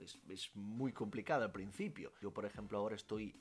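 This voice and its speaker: This man talks at a moderate pace, with ordinary pitch variation. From Italy. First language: Italian (speaking Spanish). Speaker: language teacher and youtuber. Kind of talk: Q&A vlog.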